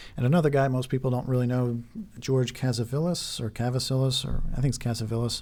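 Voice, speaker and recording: The man's tone is dark and mellow. He talks at a very fast pace. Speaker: conspiracy video creator. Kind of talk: video monologue.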